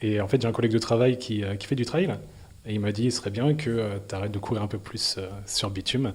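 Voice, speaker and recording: Speaking at a fairly quick pace, a man with a fairly low pitch sounds somewhat breathy, his intonation fairly even. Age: 20s. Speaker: amateur trail runner. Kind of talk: interview. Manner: hesitant, many fillers.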